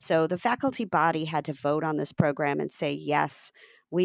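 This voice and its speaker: A fairly slow American accent with vocal fry and ordinary pitch variation, in a very clean recording with a silent background and a dry, close sound with no echo. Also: woman. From US (Ohio, New Jersey, Texas). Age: 50s. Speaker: craft program director and curator. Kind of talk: interview conversation.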